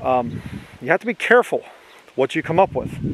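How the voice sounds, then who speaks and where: Noticeable background noise behind a man's fairly quick pace, in a dry sound with no echo. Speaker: preacher. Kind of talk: sermon. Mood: argumentative, corrective. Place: open country. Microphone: phone near.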